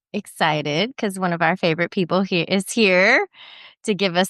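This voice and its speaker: Against a quiet background, a woman uses a plain, everyday voice at a medium pitch with ordinary pitch variation, talking at a fairly quick pace in a dry, close sound with no echo. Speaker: podcast host, lactation business coach. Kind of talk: casual podcast conversation.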